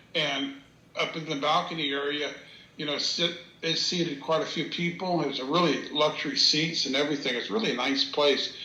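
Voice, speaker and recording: Speaking at a fairly quick clip with an American accent, a man with a fairly high voice keeps his intonation fairly even, with audible room echo and noticeable background noise. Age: 60s. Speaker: interviewee recounting paranormal encounter. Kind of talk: storytelling interview. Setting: video call. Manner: halting, many fillers.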